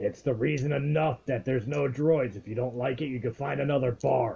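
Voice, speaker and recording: Using a gruff, put-on character voice at medium pitch, a man talks at a fairly quick pace. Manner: gruff, dismissive.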